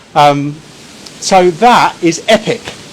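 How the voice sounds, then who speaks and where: A loud man with an English accent over noticeable background noise. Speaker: barbecue shop owner and cooking demonstrator. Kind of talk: live cooking stream. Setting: outdoors.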